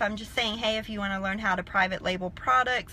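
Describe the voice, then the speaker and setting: Bright and sharp in tone, a woman speaks with a Southern US accent. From South Carolina, US South. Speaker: online business coach. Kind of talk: live stream talk. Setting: in a car in a parking lot.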